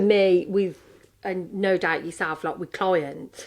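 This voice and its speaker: A woman at medium pitch speaks at a fairly slow pace with a strong Brummie accent. The recording is very clean, with a silent background. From Birmingham, England. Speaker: podcast co-host, coach. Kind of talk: casual chat.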